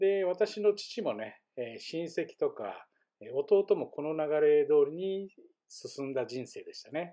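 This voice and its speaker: At a very slow pace, a man speaks in a high pitch with big swings in loudness. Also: lively intonation. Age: 50s. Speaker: vlogger. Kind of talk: personal vlog monologue. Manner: frequent fillers.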